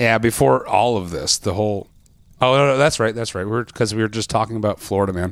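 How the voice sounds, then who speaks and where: A man talks very fast in a fairly low voice with ordinary pitch variation. The recording is very clean with a silent background. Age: 40s. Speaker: podcast host. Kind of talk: casual chat. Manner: hesitant, many fillers.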